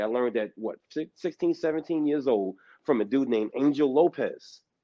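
A man speaks with a New York accent. The background is quiet. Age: 50s. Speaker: panel participant in live stream. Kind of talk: heated debate. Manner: animated. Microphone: video call.

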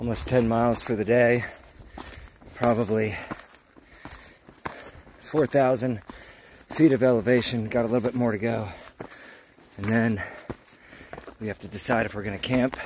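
A man speaks at a moderate pace with fairly even intonation and long, frequent pauses, the sound dry with no echo and light background noise. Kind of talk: casual vlog chat. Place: forest. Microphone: phone near.

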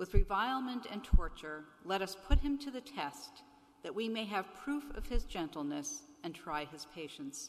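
Pitch swings here are very wide. Loudness also swings a lot. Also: woman, moderate pace. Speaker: lector reading intro and readings. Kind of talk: scripted reading aloud, liturgical. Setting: church live stream. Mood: calm, solemn. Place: church. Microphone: podium.

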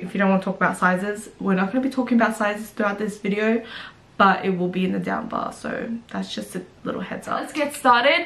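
Her pitch moves in an ordinary way. The woman keeps a fairly quick pace. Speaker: fashion vlogger. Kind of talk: casual vlog chat. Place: home room. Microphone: camera far.

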